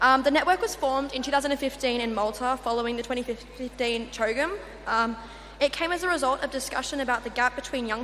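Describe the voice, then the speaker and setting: A woman with an Australian accent talks very fast in a high voice with ordinary pitch variation. There is noticeable background noise. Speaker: youth network representative. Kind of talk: conference presentation. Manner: hesitant fillers.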